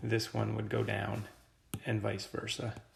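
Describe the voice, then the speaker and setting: Background music and audible room echo around a male speaker. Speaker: teacher. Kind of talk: lecture. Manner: casual.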